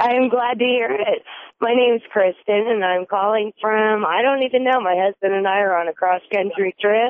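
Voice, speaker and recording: In a plain, everyday voice, a woman with an American accent talks at a moderate pace and a fairly high pitch, with ordinary pitch variation and very even loudness. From New York. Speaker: caller. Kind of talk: call-in conversation. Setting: phone call.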